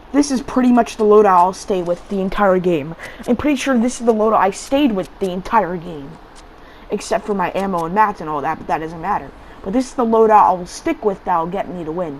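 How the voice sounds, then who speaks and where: Noticeable background noise sits behind a woman talking fairly quickly at a medium pitch. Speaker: gaming video creator. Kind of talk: gameplay commentary. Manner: casual, halting with repetitions.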